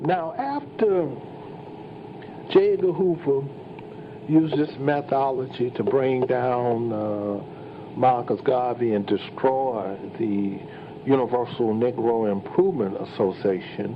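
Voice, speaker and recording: Noticeable background noise accompanies a man speaking. His intonation is lively, and his pace is very slow. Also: medium pitch for a man. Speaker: playwright and historian. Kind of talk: historical lecture. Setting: live event. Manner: hesitant, with fillers.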